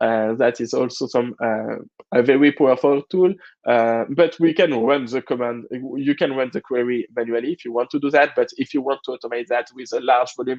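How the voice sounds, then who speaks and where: Here a man talks at a fairly quick pace with a French-Canadian accent. His pitch is medium. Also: fairly even intonation. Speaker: cloud security expert. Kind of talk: technical presentation. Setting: conference talk with online audience. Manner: hesitant, many fillers.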